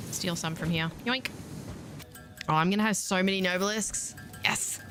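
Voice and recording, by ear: With music in the background, a woman speaks at a moderate pace with an Australian accent.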